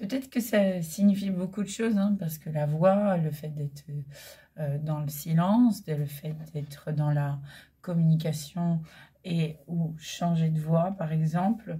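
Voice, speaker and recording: A woman speaks at a very slow pace. Her voice is somewhat breathy, with ordinary pitch variation. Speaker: holistic coach and medium. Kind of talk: spiritual guidance talk. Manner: hesitant with many fillers.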